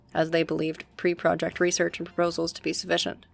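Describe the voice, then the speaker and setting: Music plays in the background as a woman speaks quietly at a fairly low pitch. Her pace is fairly quick. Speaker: university student. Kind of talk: military history narration. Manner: hushed, kept quiet.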